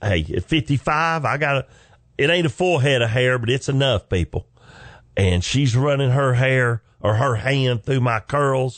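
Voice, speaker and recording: Talking at a fairly slow pace with a Southern US accent, a man keeps a very even loudness at a medium pitch with ordinary pitch variation. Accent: southern drawl. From US South. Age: 50s. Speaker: comedian. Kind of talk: stand-up style storytelling. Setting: studio.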